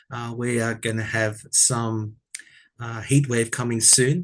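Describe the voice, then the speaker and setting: A man with an Australian accent, medium pitch, fairly even intonation, and a fairly slow pace over a quiet background. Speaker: tarot reader. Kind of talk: casual chat. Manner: soft-spoken.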